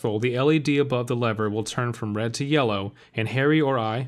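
Pitch varies in an ordinary way. The clip has an unforced reading voice.

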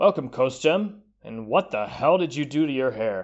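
A put-on character voice, delivered at a moderate pace. The sound is raspy throughout. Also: man. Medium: read story. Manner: blunt, informal.

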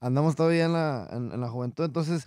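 Over a quiet background, a man speaks with ordinary pitch variation in a dry sound with no echo. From Mexico, Coahuila. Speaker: regional Mexican singer; guest. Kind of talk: interview. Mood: relaxed, grateful. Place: studio. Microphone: studio mic.

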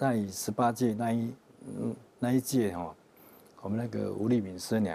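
A man's fairly low voice at a moderate pace, with ordinary pitch variation, big swings in loudness, long, frequent pauses and light background noise. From Taiwan, Yunlin County; Taiwan. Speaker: religious group member; interview guest. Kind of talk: interview testimony. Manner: halting, many fillers. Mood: calm, friendly. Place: studio. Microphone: lapel.

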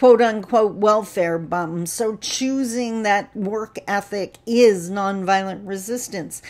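A woman's very slow delivery with ordinary pitch variation. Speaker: speaker, trainer. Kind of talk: casual vlog talk on a social topic. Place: home room. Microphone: webcam.

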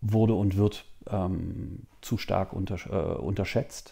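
A man's voice, fairly low in pitch with a dark, mellow tone, at a very slow pace with ordinary pitch variation over a quiet background. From eastern Germany, Magdeburg; eastern Germany. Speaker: official at a Franco-German youth organization. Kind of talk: interview. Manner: hesitant with many fillers. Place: office. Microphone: lapel.

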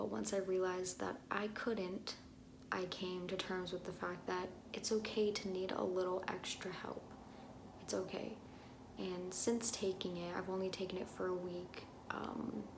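Noticeable background noise sits behind the voice. A woman speaks at a moderate pace with fairly even intonation. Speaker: vlogger. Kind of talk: casual vlog chat. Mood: earnest, personal, somewhat emotional. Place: bathroom. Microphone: phone near.

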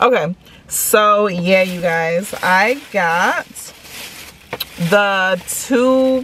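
The sound is dry with no echo, over light background noise. Pitch varies in an ordinary way. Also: woman. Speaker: food vlogger. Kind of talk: casual vlog chat. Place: car. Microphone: phone near.

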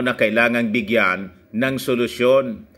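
Speaking fairly slowly, a man has a bright, sharp tone. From Philippines. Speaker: political news vlogger. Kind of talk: political commentary vlog. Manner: laughs often while talking. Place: home room. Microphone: phone near.

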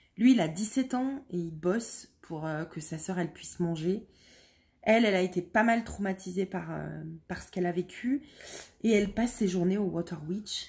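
A somewhat breathy woman's voice at medium pitch and moderate pace, with ordinary pitch variation and big swings in loudness, on a very clean recording with a silent background. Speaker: book youtuber. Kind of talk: book review monologue. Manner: hesitant, many fillers.

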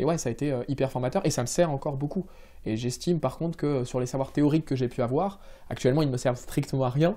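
Over a quiet background, a man with a dark, mellow tone talks at a very fast pace, his medium pitch showing ordinary variation. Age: 20s. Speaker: civil servant project manager; interviewee. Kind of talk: interview. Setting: office. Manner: hesitant, many fillers. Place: office.

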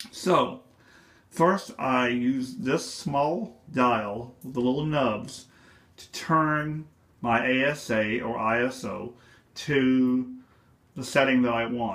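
A man speaks very slowly, his loudness swinging widely. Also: medium pitch for a man, ordinary pitch variation. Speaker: photography hobbyist. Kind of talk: tutorial explanation to camera. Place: home room.

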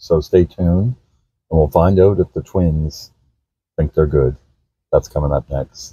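Over a quiet background, a man with a very deep, low pitch and a dark, mellow tone speaks at a moderate pace in fairly even intonation, the sound dry with no echo. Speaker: grandfather vlogger. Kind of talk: casual vlog chat. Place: car. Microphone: phone near.

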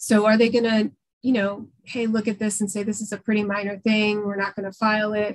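A woman with an American accent talks at a fairly quick pace in a fairly high, somewhat breathy voice, her intonation flat and monotone against a quiet background. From New York City. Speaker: public defender; guest, defense attorney. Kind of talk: presentation. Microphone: video call.

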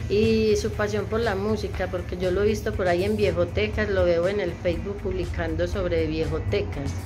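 Over noticeable background noise, a woman speaks at a moderate pace with hardly any pauses. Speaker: interviewer. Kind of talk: interview question. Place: home room.

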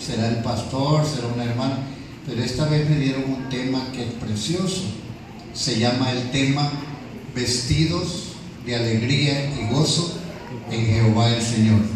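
Amid noticeable background noise and strong room echo, a man talks at medium pitch and a fairly slow pace, with ordinary pitch variation and long, frequent pauses. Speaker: preacher. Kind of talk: sermon. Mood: warm, affectionate. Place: church.

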